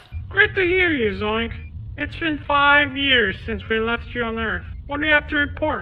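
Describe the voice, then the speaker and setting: A cartoonish character voice, female-sounding, moves at a moderate pace. Clear background noise sits behind it. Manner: excitable, stammering.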